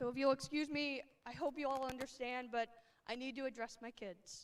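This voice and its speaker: In an American accent, a woman speaks in a high, shaky voice with fairly even intonation. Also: fairly quick pace. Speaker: high school English teacher. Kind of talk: graduation speech. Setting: stage with audience.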